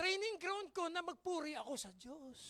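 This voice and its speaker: The voice is loud with an animated tone. It moves at a moderate pace. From Philippines. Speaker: pastor. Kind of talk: sermon.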